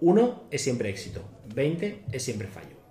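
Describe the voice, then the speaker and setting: A man talks at a moderate pace. Audible room echo is present. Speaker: tabletop role-playing podcaster. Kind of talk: casual chat.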